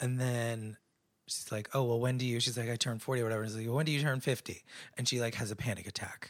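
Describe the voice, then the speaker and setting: Monotone and flat, a man speaks at a very fast pace. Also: medium pitch for a man. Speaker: podcast co-host. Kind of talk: casual chat.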